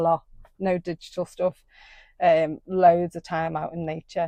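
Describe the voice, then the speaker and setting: A woman with a Liverpool accent, fairly low in pitch, her dark, mellow tone flat and monotone at a fairly slow pace, dry and close with no echo over a quiet background. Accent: Scouse. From Liverpool, England. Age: 50s. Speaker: somatic shamanic therapist. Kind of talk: interview. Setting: outdoors by a river.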